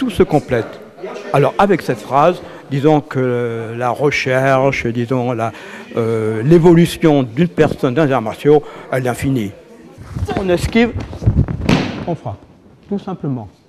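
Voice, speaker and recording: Over noticeable background noise, a man with a fairly high pitch talks with lively intonation. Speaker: jujitsu instructor. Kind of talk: interview. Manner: hesitant, many fillers.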